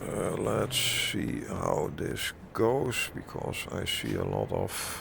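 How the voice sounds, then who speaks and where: A man with a Dutch accent at a very slow pace with hardly any pauses, amid noticeable background noise and audible room echo. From Netherlands. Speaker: truck simulator gamer, content creator. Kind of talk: casual gameplay commentary. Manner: halting, with many fillers.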